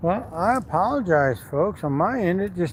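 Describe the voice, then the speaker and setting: A man with a high pitch speaks at a fairly slow pace with lively intonation. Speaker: livestreamer. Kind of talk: casual chat.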